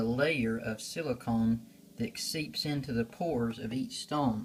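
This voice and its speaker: A man at a medium pitch, fairly slow and with fairly even intonation. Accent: South Carolina. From US South, South Carolina. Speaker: stone carver and craft seller. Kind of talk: show-and-tell tutorial. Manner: relaxed, with filler pauses.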